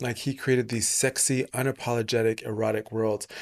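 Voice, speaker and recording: This very clean recording has a silent background. The speaker talks at a very fast pace in a monotone, flat delivery. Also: man, dry, close sound with no echo. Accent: American. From England, part of youth in Texas and Atlanta. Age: 30s. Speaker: podcast host. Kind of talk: casual interview.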